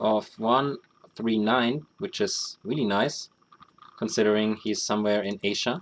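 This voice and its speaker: A man with a German accent and medium pitch speaks at a fairly slow pace with lively intonation. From Germany. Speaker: esports caster. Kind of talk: live commentary.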